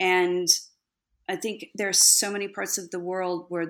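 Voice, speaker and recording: An unremarkable speaking voice from a woman with an American accent, at a medium pitch and a fairly slow pace, comes through on a very clean recording with a silent background. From Texas. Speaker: speechwriter and communications consultant. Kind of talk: interview.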